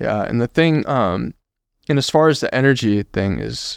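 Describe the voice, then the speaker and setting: This is a man with lively intonation. His sound is dry and close, with no echo. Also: very clean recording, silent background. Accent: American. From California (Modesto, Central Valley). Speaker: acupuncturist. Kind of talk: interview. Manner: halting, many fillers.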